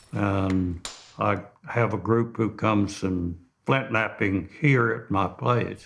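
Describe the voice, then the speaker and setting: With an Oklahoma accent, a man speaks at a very slow pace. His pitch is fairly low. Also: ordinary pitch variation. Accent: rural Oklahoma. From northeastern Oklahoma. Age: 80s+. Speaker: flintknapper. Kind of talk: documentary interview.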